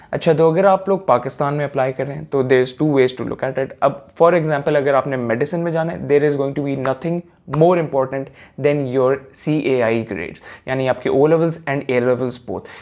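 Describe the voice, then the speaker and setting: Here is a man with an unremarkable speaking voice. His pitch is fairly high, with ordinary pitch variation. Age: young. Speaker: student content creator. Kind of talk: casual explainer vlog.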